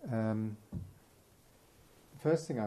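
The speaker is soft-spoken, with a dark, mellow tone and a moderate pace. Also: man. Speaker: event interviewer. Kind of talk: event introduction. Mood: warm, admiring. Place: hall. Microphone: studio mic.

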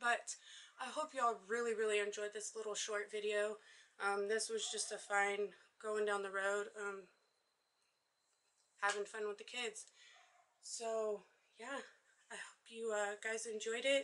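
Her tone bright and sharp, a woman talks at a fairly slow pace in a monotone, flat intonation, with long, frequent pauses. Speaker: vlogger exploring a derelict house. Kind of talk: casual vlog chat. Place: empty room. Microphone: phone near.

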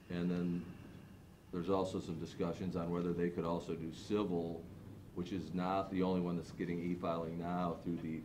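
Against noticeable background noise, a man speaks at a moderate pace in a very deep, low pitch. His tone is dark and mellow, his intonation monotone and flat. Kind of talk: meeting discussion. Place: hall.

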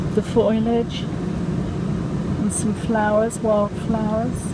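A woman's voice sounds dry, with no echo, beneath loud background noise. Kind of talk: casual vlog narration. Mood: cheerful, relaxed. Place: train. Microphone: phone near.

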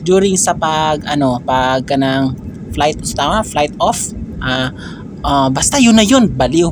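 A man talks at a very slow pace with a fairly high pitch and lively intonation. Noticeable background noise runs behind him. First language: Cebuano (Bisaya) (speaking Tagalog). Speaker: vlogger. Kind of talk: travel vlog. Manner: animated, frequent laughter.

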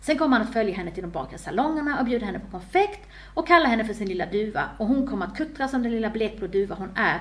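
This is an unforced reading voice with lively intonation.

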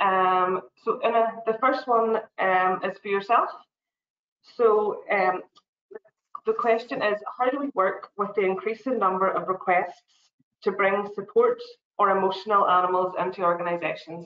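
In a Northern Irish accent, a woman of medium pitch talks at a moderate pace with fairly even intonation and long, frequent pauses, with audible echo from the room. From Northern Ireland. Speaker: tourism quality assurance officer; webinar host moderator. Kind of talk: webinar hosting. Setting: video call. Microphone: video call.

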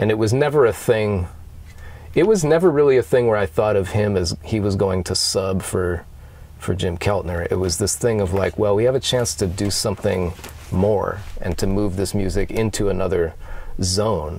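Moderate pace, ordinary pitch variation, and a dry sound with no echo. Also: man. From US Northeast, Western Massachusetts; Massachusetts. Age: 40s. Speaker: guitarist; interviewee. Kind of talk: casual interview. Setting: outdoors on a mountain lookout. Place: open country.

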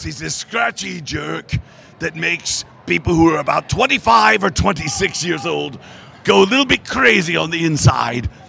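Putting on a character voice, a man speaks at a moderate pace in a fairly high, raspy, gruff voice against clear background noise. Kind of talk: interview answer. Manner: gruff, arrogant. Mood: amused, playful.

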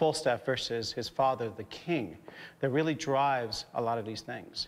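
A man's pitch varies in an ordinary way while he talks at a moderate pace. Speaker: stage actor. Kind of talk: interview. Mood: thoughtful, explanatory. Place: stage. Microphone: lapel.

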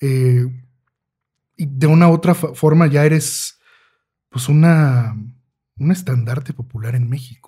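A man's fairly high, somewhat breathy voice with a dark, mellow tone, very slow pace and long, frequent pauses. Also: ordinary pitch variation. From Mexico. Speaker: podcast host. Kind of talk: interview. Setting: studio.

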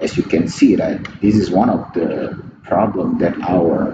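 With an Indonesian accent, a man speaks at a very slow pace amid noticeable background noise and audible room echo. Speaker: pipeline engineer. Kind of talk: conference presentation. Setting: remote recorded talk. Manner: halting.

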